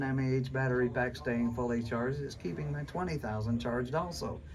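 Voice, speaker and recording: Very fast speech from a man, amid noticeable background noise and audible room echo. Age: 60s. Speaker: survival skills instructor. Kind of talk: classroom lecture. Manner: animated.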